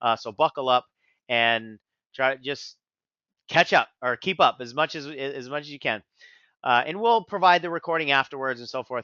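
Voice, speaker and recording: A man speaks at a fairly high pitch with lively intonation and big swings in loudness. He leaves long, frequent pauses. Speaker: business coach. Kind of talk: webinar presentation. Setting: webinar. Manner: fast.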